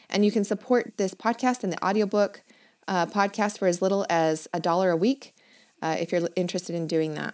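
A woman talks at a fairly quick pace with a medium pitch and ordinary pitch variation. The recording is very clean, with a silent background. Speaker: fantasy author and podcast host. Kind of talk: solo podcast monologue. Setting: home recording in a walk-in closet.

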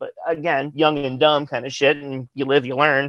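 This is a man speaking. His pace is moderate. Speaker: interview guest, metal band vocalist. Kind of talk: casual, profane. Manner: talkative, casual.

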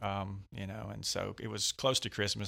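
This man has a fairly low pitch, vocal fry and a bright, sharp tone. The recording is very clean and the background silent. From West Georgia, US South. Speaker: pastor. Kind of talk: casual interview, personal testimony. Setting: studio.

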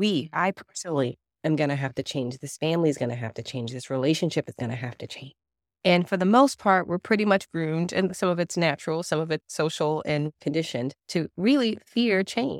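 A woman with a normal speaking voice talks fairly quickly at a fairly low pitch, using lively intonation. The recording is very clean with a silent background and a dry, close sound with no echo. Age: 30s. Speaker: therapist, OCD specialist. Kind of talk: casual interview chat.

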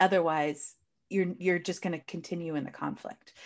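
In a very clean recording with a silent background, a woman with an American accent talks at a moderate pace, her fairly low pitch showing ordinary variation. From United States. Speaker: coach and speaker. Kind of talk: interview, conversational.

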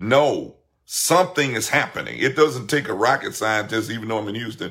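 Speaking at a moderate pace, a man sounds bright, sharp and animated on a very clean recording with a silent background. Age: 50s. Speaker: pastor. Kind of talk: livestream sermon.

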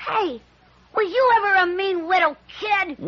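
Pitched extremely high, a put-on character voice speaks at a moderate pace. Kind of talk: comic commercial skit. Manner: cocky, wisecracking, then panicky.

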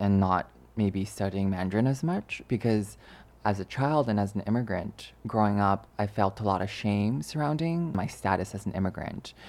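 A man with a Canadian accent and an ordinary speaking voice talks at a moderate pace and fairly low pitch with ordinary pitch variation, in a very clean recording with a silent background. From Canada, born in China. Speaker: podcast co-host. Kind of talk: casual chat. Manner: measured, articulate.

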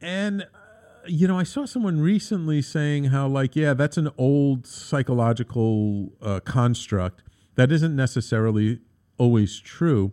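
Fairly high in pitch, a man speaks in a normal speaking voice with lively intonation. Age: 50s. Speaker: radio talk show host and consultant. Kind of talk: solo talk radio monologue. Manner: conversational with frequent fillers.

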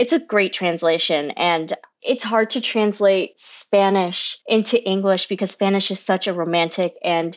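At a moderate pace, a woman with a plain, everyday voice speaks in a medium pitch with ordinary pitch variation. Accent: American. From Florida, US (Kissimmee), Cuban American family. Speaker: theater director. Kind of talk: casual interview.

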